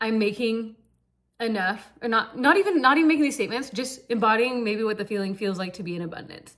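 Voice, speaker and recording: Here a woman talks fairly quickly. Her pitch is fairly high. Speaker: manifestation coach / vlogger. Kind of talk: casual monologue vlog. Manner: fast; casual, filler-heavy.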